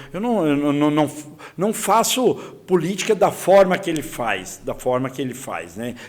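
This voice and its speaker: A fairly high-pitched man at a moderate pace, voice making very wide pitch swings, with noticeable background noise. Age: 60s. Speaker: politician, congressional candidate. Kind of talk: political interview. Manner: repetitive, halting with restarts.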